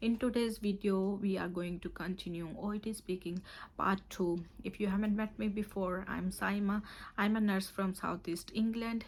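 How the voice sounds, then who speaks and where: Her intonation stays flat and monotone. The woman sounds somewhat breathy. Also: medium pitch for a woman, moderate pace. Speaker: nurse and OET tutor. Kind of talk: tutorial.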